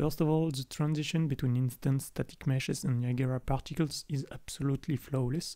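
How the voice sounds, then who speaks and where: The speaker has a French accent and a dark, mellow tone. Delivery is fairly quick, with fairly even intonation. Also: man. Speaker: indie game developer. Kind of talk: technical tutorial demo narration. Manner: casual.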